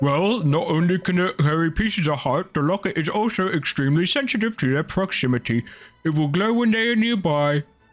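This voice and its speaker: Over faint background music, a man puts on a character voice with a pompous tone, speaking at a high pitch and a fairly quick pace. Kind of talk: comic overacting. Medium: game stream. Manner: pompous, lecturing.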